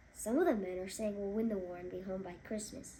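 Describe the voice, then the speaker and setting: A woman uses a put-on character voice at a medium pitch and a very fast pace. Clear background noise can be heard. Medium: read story.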